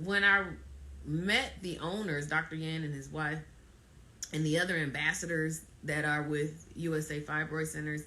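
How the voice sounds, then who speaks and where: A woman with a very deep, low pitch and a bright, sharp tone speaks at a moderate pace with fairly even intonation and long, frequent pauses, in audible room echo. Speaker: fibroid awareness ambassador, live streamer. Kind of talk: live stream talk. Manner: emphatic, halting with repetitions.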